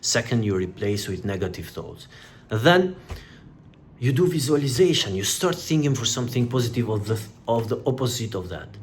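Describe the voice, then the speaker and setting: A somewhat breathy, medium-pitched man at a fairly quick pace, lively in intonation, with audible room echo. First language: not English. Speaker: self-help youtuber. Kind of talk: motivational talk. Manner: halting.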